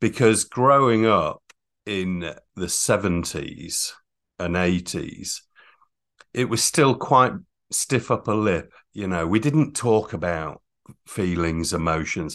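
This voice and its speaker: In a northern English accent, the speaker talks at a very slow pace with long, frequent pauses. The background is quiet. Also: man, fairly low pitch for a man, lively intonation. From northern England (North Yorkshire, Catterick). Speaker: emotional intelligence coach. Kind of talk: interview.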